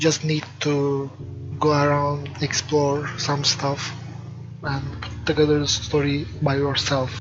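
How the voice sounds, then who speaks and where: Very slow, monotone and flat delivery over music in the background. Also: man. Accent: non-native. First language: not English. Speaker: game developer. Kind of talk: let's play commentary. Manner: hesitant, filler words. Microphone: poor microphone quality.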